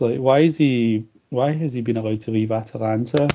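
A man talks at a moderate pace in a medium pitch, with ordinary pitch variation. His is an unremarkable speaking voice. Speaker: podcast host. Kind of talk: casual interview chat.

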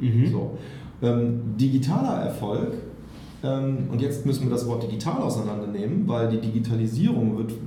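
Over noticeable background noise and with audible room echo, a man speaks at a moderate pace. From Germany, Overath area. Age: 30s. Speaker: entrepreneur. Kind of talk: casual interview. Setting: studio.

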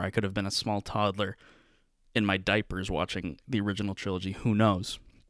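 A man speaks at a fairly quick pace in a normal speaking voice. The recording is very clean, with a silent background. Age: 20s. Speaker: podcast co-host and pre-law student. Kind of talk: casual chat.

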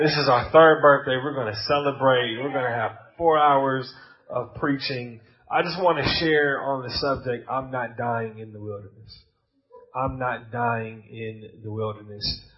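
With an American accent and an animated tone, a man at medium pitch talks at a moderate pace with ordinary pitch variation, amid audible room echo. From United States. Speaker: pastor. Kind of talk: sermon.

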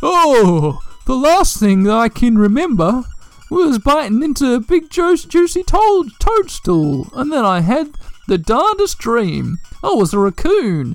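Over faint background music, a put-on character voice at a fairly high pitch swings very widely in pitch at a fairly slow pace. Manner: befuddled.

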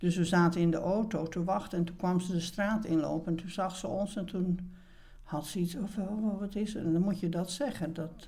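Speaking at a fairly quick pace, a woman with a medium pitch and a somewhat breathy, dark, mellow tone keeps her intonation fairly even amid audible room echo. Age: 70s. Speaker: retired theatre producer. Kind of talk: interview.

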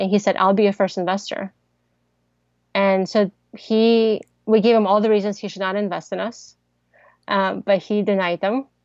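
Her American accent comes through at a medium pitch with monotone, flat intonation. The woman's sound is dry and close with no echo. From Ukraine (Odesa), then Kansas from age 10. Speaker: tech startup founder. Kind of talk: interview.

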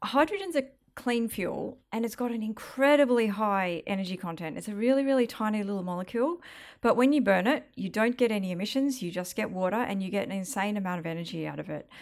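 Her pitch fairly high and her intonation lively, a woman speaks at a very fast pace. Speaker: government hydrogen taskforce leader. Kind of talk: presentation followed by panel Q&A.

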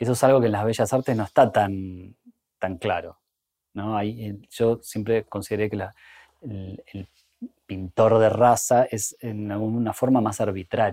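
At a fairly slow pace, a man speaks with a dark, mellow tone, a fairly low pitch and fairly even intonation. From Argentina, Bariloche. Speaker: illustrator and artist. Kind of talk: casual interview conversation. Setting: art gallery.

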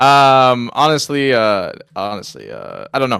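A man has a normal speaking voice at a medium pitch with fairly even intonation. The recording is very clean, with a silent background. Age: 20s. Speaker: video game community manager. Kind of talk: casual chat.

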